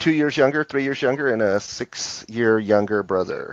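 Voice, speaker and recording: An unremarkable speaking voice from a man, with lively intonation at a moderate pace and a quiet background. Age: 60s. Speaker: guest on live stream. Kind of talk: casual chat.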